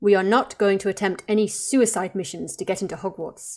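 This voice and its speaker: A woman's growling put-on character voice at medium pitch, fairly quick and fairly even, on a very clean recording with a silent background. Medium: read story. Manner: calm, measured.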